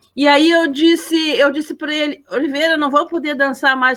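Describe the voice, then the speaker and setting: A woman at a moderate pace. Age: 70s. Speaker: event participant, elder. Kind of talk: personal anecdote at online literary gathering. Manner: halting, many repetitions.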